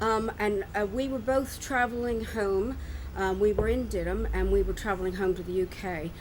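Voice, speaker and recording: With an American accent, a woman speaks at a moderate pace amid audible room echo. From US, Philadelphia area. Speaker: expat resident. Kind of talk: casual interview chat. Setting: outdoors at harbourside restaurant.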